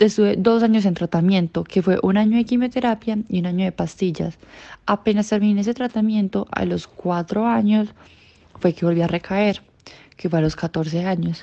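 A woman's dark, mellow voice comes at a moderate pace, with a dry, close sound with no echo and a quiet background. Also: medium pitch for a woman, ordinary pitch variation. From Colombia, Sucre and Cúcuta. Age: 20s. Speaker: cancer survivor. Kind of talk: interview testimony.

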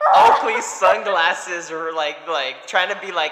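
A man speaks with a high pitch and ordinary pitch variation. His pace is fairly slow, with noticeable background noise behind him. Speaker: podcast co-host. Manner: casual, animated, joking.

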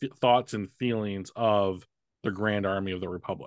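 A man's fairly low-pitched, a normal speaking voice at a moderate pace, with fairly even intonation, in a dry, close sound with no echo against a quiet background. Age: 40s. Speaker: podcast host. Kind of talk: casual chat. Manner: bantering, teasing.

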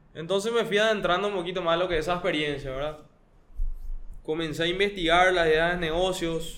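Audible room echo surrounds a man speaking at a high pitch with fairly even intonation. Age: 20s. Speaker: chef and startup founder. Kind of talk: interview.

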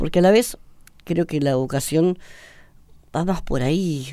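Lively intonation carries this speaker along at a fairly slow pace. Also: man. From Argentina, Buenos Aires. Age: 30s. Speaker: seminarian. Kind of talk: radio interview testimony. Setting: radio studio.

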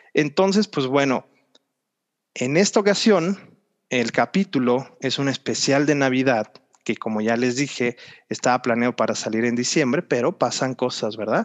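Lively intonation marks this man's speech. He talks at a moderate pace with a medium pitch. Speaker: podcast host. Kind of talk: casual chat.

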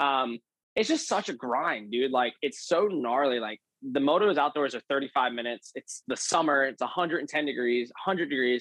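A man with an American accent and an unremarkable speaking voice talks at a moderate pace and a fairly high pitch, with ordinary pitch variation, in a dry, close sound with no echo. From Pennsylvania. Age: 20s. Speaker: professional motocross racer. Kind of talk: casual interview.

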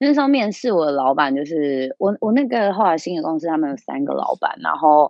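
A woman speaks with a fairly low pitch and very wide pitch swings. Her pace is fairly quick, with hardly any pauses. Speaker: small business owner. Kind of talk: casual interview. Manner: animated.

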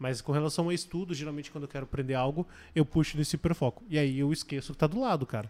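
On a very clean recording with a silent background, a man talks at a very fast pace and a fairly high pitch with ordinary pitch variation. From Curitiba, southern Brazil. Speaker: esports team coach. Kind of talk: casual chat.

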